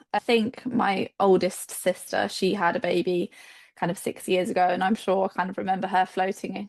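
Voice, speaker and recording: The woman's voice is plain and everyday, with medium pitch. She talks at a moderate pace in a dry, close sound with no echo. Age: 20s. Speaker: children's nurse and new mother. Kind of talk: casual interview, birth story.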